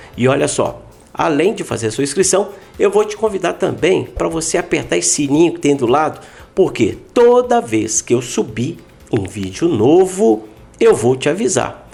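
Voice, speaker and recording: The man's pitch rises and falls across a very wide range. He talks fairly slowly, with vocal fry. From Minas Gerais, Brazil. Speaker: podcast host. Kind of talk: casual interview chat.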